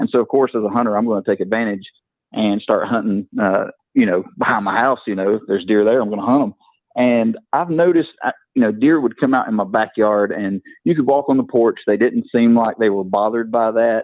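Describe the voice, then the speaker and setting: A man talks at a fairly quick pace. He has a Southern US accent. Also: medium pitch for a man, ordinary pitch variation. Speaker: caller, hunter. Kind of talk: casual chat.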